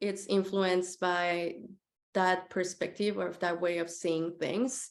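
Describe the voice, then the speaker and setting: This woman speaks with a Spanish accent at a fairly slow pace. Her pitch is medium. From Mexico City. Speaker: graphic designer. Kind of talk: presentation talk. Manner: hesitant, many fillers.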